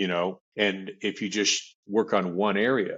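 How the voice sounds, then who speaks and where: A man with an American accent speaks in a plain, everyday voice. His pitch sits fairly low, and his intonation stays fairly even. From US Southwest, South Phoenix, Arizona. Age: 60s. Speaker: author and men's group leader. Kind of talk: interview.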